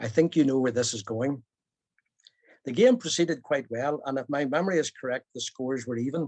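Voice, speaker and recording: Speaking fairly quickly with a Belfast accent, a man at medium pitch uses ordinary pitch variation, recorded with a dry, close sound and no echo. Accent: Belfast Northern Irish. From Northern Ireland, Belfast. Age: 70s. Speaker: storyteller. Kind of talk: personal storytelling.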